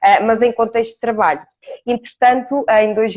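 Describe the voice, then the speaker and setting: A woman is speaking. Her pitch is fairly high. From Portugal, Ourém. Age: 40s. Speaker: coach. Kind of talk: interview. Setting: live stream. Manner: hesitant fillers.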